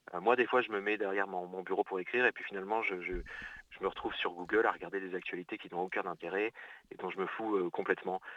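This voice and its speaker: Talking very fast, a man comes across in a dry, close sound with no echo. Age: 30s. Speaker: novelist. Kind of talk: interview. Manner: halting.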